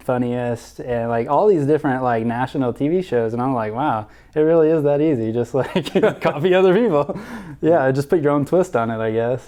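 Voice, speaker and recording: A man speaks with an American accent at a moderate pace. His medium pitch has a dark, mellow tone and ordinary pitch variation. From US South. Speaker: youtuber. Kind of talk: testimony interview. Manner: casual, animated.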